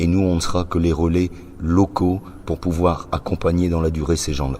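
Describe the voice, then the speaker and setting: Noticeable background noise sits behind a man's voice. He speaks with a very deep, low pitch and monotone, flat intonation. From northern France, Roubaix. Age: 60s. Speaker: association founder. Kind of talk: interview. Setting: press conference. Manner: hesitant, many fillers.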